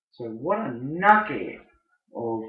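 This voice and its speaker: An English accent with very wide pitch swings and audible room echo. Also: man. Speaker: podcast host, businessman. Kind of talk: unscripted solo podcast. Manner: slow; deliberate.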